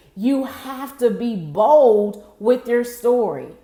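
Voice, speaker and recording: A woman with a fairly high pitch is heard amid noticeable background noise and audible room echo. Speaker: motivational speaker. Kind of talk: live stream motivational talk. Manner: energetic.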